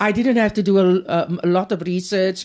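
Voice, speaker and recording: A woman's medium-pitched voice with a dark, mellow tone and a South African accent, at a moderate pace against a quiet background. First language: Afrikaans. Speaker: author and poet. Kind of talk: interview. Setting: hotel room.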